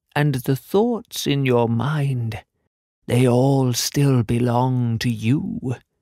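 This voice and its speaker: Using a put-on character voice, a man talks at a medium pitch. His delivery is very slow. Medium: read story. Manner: solemn, cryptic.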